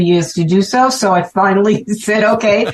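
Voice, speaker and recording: A woman with a Brooklyn accent, medium in pitch, with fairly even intonation. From Brooklyn, New York. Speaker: ham radio operator, event organizer. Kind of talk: casual interview chat.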